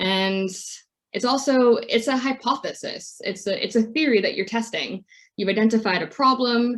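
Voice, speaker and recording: With an ordinary speaking voice, a woman talks at a moderate pace and a fairly high pitch, using ordinary pitch variation. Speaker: charity impact measurement lead. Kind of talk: webinar presentation.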